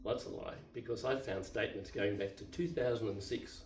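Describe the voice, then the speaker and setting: Music plays in the background, and there is audible room echo. A man with an Australian accent speaks at a moderate pace with a fairly low pitch. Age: 70s. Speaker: YouTuber, divorced retiree. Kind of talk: casual monologue, personal story. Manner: unscripted, halting with fillers.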